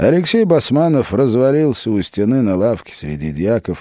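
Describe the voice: What's heard here is plain reading aloud.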